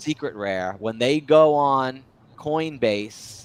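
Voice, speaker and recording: A man speaks with lively intonation. His tone is animated. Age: 40s. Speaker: show host. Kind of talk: casual chat.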